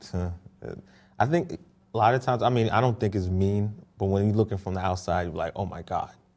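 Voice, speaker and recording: In a very clean recording with a silent background, a man with an American accent talks very fast in a fairly low pitch, with ordinary pitch variation and long, frequent pauses. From Boston, Dorchester. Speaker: show host being interviewed. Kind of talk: interview.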